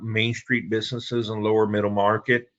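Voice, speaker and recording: A man with a Spanish accent speaks in a flat, monotone way. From Puerto Rico. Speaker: business broker. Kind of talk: presentation.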